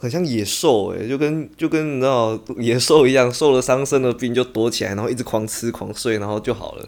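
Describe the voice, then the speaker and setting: With a normal speaking voice of medium pitch, a man speaks at a fairly quick pace, barely pausing and varying his pitch in an ordinary way. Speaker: fellow podcaster. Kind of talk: casual chat.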